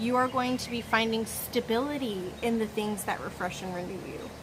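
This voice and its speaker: A woman speaks at a fairly high pitch. Noticeable background noise and audible room echo fill the recording. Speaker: tarot reader. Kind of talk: pick-a-card tarot reading. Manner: animated.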